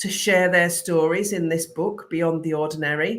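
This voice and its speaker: A woman speaks with a British accent. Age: 50s. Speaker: creative business coach. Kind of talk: live stream talk to viewers. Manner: animated.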